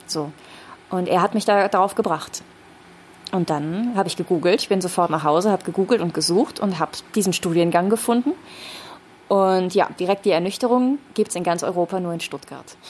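Over noticeable background noise, a woman at a medium pitch speaks at a fairly quick pace with ordinary pitch variation and long, frequent pauses. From Rhineland, Germany (Düren). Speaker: speech trainer. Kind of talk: casual chat. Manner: animated.

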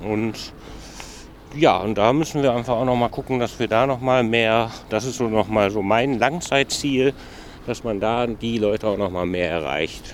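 A man at a medium pitch, ordinary pitch variation and a fairly slow pace, with noticeable background noise. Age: 40s. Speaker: youth employment project manager, trained hotel professional. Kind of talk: casual interview on a walk. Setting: outdoors walking through a city district.

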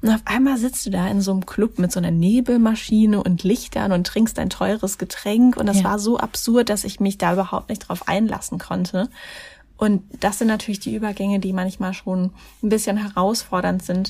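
At a moderate pace, a woman speaks with a medium pitch, a dark, mellow tone, a somewhat breathy quality and fairly even intonation. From Germany, Mannheim. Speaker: life coach and charity founder. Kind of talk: interview.

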